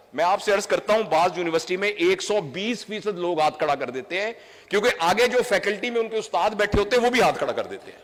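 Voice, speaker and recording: Over noticeable background noise, a man with a high pitch talks at a moderate pace with hardly any pauses, ordinary pitch variation and big swings in loudness. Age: 60s. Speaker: doctor and trainer. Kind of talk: public speech. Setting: stage with audience.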